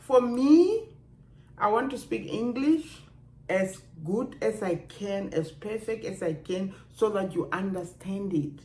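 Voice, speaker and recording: A woman with a strong Namibian accent speaks at a very slow pace in a somewhat breathy, medium-pitched voice with lively intonation. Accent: Namibian African accent, kept strong. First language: Otjiherero. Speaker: video blogger. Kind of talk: casual vlog monologue. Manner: animated.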